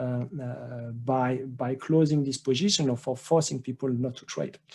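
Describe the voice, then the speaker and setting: With a French accent, a man speaks at medium pitch in a dark, mellow tone. His intonation stays fairly even and his pace fairly slow. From France. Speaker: trading educator. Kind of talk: webinar presentation. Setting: online webinar. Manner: halting with many fillers and repetitions.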